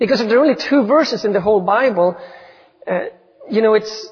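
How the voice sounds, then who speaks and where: A man's high-pitched voice with a Swedish accent and lively intonation. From Sweden. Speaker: missionary. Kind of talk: sermon. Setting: church. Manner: self-deprecating, conversational.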